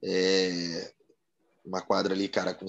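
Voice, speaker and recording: The man's voice is fairly low in pitch. He speaks very slowly. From Florianópolis, Santa Catarina, Brazil. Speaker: former futsal player. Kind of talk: interview.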